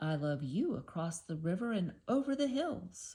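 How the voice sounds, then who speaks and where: At a middle pitch and a moderate pace, the speaker performs a put-on character voice. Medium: read story. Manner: gentle, affectionate.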